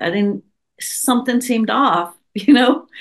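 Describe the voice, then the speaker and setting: Speaking at a moderate pace, a woman uses an ordinary speaking voice with ordinary pitch variation. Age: 60s. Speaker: herbalist and psychotherapist. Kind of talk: casual interview chat.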